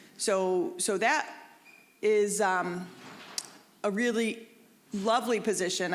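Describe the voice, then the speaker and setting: Audible room echo surrounds a woman talking at a medium pitch with ordinary pitch variation. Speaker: hospital social worker and counselor. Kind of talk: lecture. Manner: loud.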